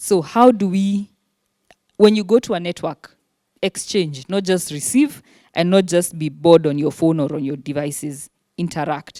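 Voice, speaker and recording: Dark and mellow, a woman's fairly low voice moves with ordinary pitch variation. The sound is dry and close with no echo, on a very clean recording with a silent background. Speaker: human rights lawyer and activist. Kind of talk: panel talk to students. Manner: fast.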